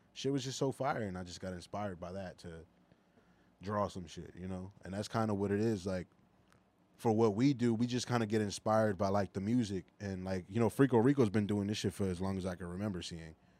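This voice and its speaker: A man with a Philadelphia accent talks at a fairly quick pace and a fairly low pitch. His tone is dark and mellow, with big swings in loudness. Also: ordinary pitch variation. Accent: Philadelphia American. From US, Philadelphia. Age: 20s. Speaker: artist. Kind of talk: casual chat.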